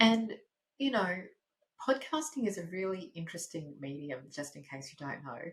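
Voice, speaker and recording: A somewhat breathy woman with an Australian accent sounds enthusiastic, her pitch moving in very wide swings. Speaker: podcast host, speaking coach. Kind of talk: podcast monologue. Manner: lower pitch than usual.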